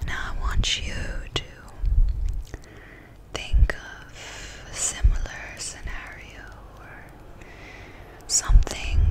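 A woman whispers at a very slow pace, pausing often and at length. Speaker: ASMR artist. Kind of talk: ASMR sleep guidance. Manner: whispered. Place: home room. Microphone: studio mic.

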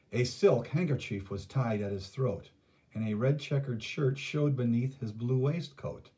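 With ordinary pitch variation, the speaker uses a natural reading voice.

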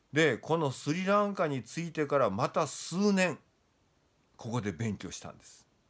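Against a quiet background, a man speaks at a moderate pace with a fairly high pitch. His voice makes very wide pitch swings and big swings in loudness. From Japan. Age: 60s. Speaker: Buddhism scholar; lecturer on Buddhism. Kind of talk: lecture. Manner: casual, many fillers. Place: home room. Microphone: phone near.

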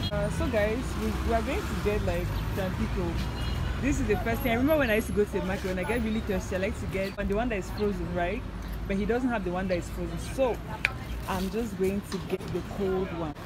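A woman talks at a very fast pace. Loud background noise is present. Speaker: food travel vlogger. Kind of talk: casual vlog chat. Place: street. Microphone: headset.

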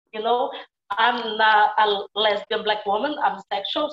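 In a room with audible echo, a woman with a Brazilian accent speaks at a moderate pace with ordinary pitch variation. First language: Portuguese. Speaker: actor; film actor. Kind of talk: panel Q&A. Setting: video call. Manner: halting. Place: home room. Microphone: earbuds.

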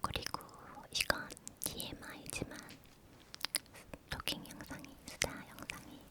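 A woman whispering at a very slow pace, with long, frequent pauses and noticeable background noise. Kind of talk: ASMR whispered chatty talk with word repetition. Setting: studio, close microphone. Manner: whispered, soft-spoken, repetitive.

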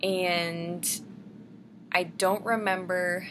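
Against noticeable background noise, a woman with a fairly low pitch speaks in a monotone, flat intonation with a bright, sharp tone. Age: 20s. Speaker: vlogger. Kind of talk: casual vlog monologue. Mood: calm, personal storytelling. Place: home room. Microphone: webcam.

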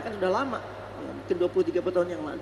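Audible room echo mixes with light background noise throughout the recording. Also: man. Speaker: preacher. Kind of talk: sermon. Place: church. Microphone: podium.

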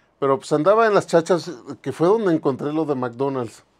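A man talks fairly quickly with ordinary pitch variation, the background around him quiet. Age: 50s. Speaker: toy museum owner, collector and video host; video host. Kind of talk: casual toy show-and-tell video. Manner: casual, conversational. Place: shop. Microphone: lapel.

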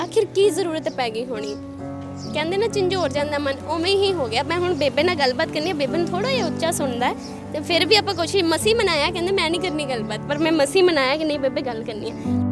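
Over clear background music, a woman speaks in a dry sound with no echo. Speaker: news reporter. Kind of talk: street interview reporting. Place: street. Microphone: handheld.

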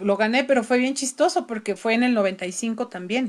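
A woman with a Mexican accent speaks in a fairly high voice with lively intonation. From Mexico City. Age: 50s. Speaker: opera singer; guest. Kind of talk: interview. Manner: animated. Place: home room. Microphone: video call.

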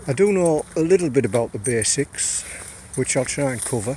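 At a moderate pace, a man speaks with a dry sound, no echo and light background noise. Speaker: outdoor vlogger. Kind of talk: casual vlog tutorial. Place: forest. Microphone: phone near.

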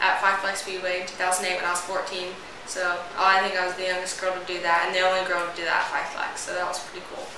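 A woman talks at a very fast pace. Noticeable background noise and audible room echo are present. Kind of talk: interview answer. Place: home room. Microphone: camera far.

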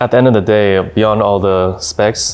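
A man speaks at a fairly low pitch. His intonation stays monotone and flat. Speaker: company executive reviewing a phone. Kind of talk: interview answer. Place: office. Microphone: lapel.

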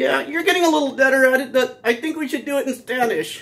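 Someone rattles off lines at a very fast pace in a put-on character voice. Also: man, extremely high pitch for a man.

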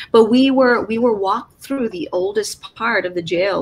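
A woman with an American accent speaks at a moderate pace with lively intonation, over light background noise. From Chicago, west side (Little Village); Chicago. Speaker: artist and art professor; interviewee. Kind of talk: interview; interview answer. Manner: halting. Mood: reflective, warm. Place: home room.

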